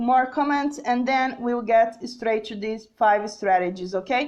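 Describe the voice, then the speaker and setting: The speaker has a Portuguese accent. Pitch variation is ordinary. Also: woman. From Brazil. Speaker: English teacher. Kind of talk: live-streamed lesson reading viewer comments. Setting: Facebook live video. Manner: hesitant, many fillers and repetitions.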